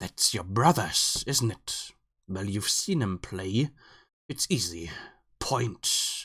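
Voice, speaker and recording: A man uses a put-on character voice at medium pitch, his pitch swinging very widely. He speaks very slowly with long, frequent pauses, and the recording is very clean with a silent background. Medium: read story. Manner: mocking, disdainful.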